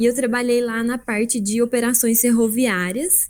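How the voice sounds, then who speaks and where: Speaking at a fairly slow pace, a woman has an ordinary speaking voice with a fairly high pitch. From Brazil, southern Minas Gerais. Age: 20s. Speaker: production engineer and agile consultant. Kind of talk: presentation. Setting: video call livestream. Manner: casual, conversational.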